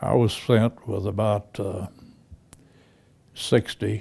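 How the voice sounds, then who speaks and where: A man's somewhat breathy, fairly low voice, dark and mellow in tone, with monotone, flat intonation, on a very clean recording with a silent background. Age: 90s. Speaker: WWII veteran and author. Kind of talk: interview testimony. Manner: halting.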